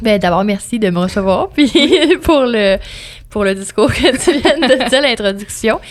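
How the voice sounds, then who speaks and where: In a Quebec accent, a woman with a fairly high pitch and lively intonation talks at a fairly slow pace with long, frequent pauses, amid noticeable background noise. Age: 20s. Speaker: radio host and music promoter. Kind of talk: podcast interview.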